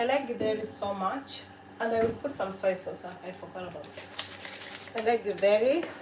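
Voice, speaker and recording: Room echo is audible, along with noticeable background noise. A woman speaks at a moderate pace and a fairly high pitch, with ordinary pitch variation. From Kenya. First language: a Kenyan language. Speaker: cooking livestreamer. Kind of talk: live cooking stream. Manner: casual, conversational.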